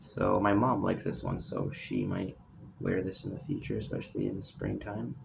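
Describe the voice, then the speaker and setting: Someone talks at a fairly quick pace with noticeable background noise in the recording. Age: young. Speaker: fragrance collector. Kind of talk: casual talk to camera.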